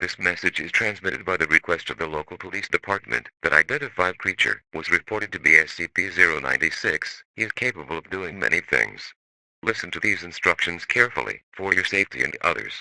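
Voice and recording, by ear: Talking at a fairly quick pace, a man uses a low pitch with vocal fry, lively intonation and a bright, sharp tone in a dry, close sound with no echo.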